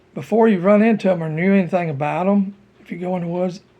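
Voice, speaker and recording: A man speaks at a moderate pace with a high pitch. His tone is dark and mellow, with ordinary pitch variation. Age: 60s. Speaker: hunter sharing cryptid encounters. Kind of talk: casual monologue. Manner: rambling, halting.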